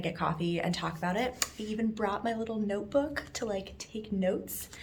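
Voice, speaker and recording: A woman speaks at a moderate pace with fairly even intonation. Audible room echo colors the recording. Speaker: vlogger, physical therapy student. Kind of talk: casual vlog chat. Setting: outdoors.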